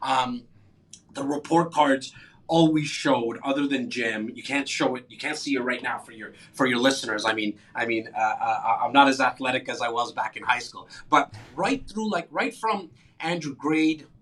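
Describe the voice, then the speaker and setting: A man speaks at a fairly high pitch and a moderate pace, with ordinary pitch variation. His tone is energetic, with big swings in loudness. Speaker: real estate agent and podcast host. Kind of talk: interview.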